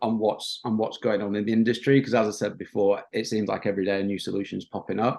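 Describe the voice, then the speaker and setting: Speaking with a Yorkshire accent, a man talks at a fairly quick pace. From northern England, Yorkshire coast. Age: 30s. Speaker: marketing agency owner. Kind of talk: podcast interview. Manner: casual, many filler ums.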